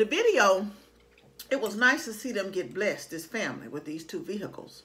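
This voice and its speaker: A woman at a fairly quick pace with very wide pitch swings. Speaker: vlogger. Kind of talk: casual vlog chat. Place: home room. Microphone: phone near.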